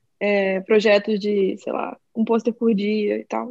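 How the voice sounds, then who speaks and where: A woman with fairly even intonation in a dry, close sound with no echo. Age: 20s. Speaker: designer and illustrator. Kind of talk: casual chat.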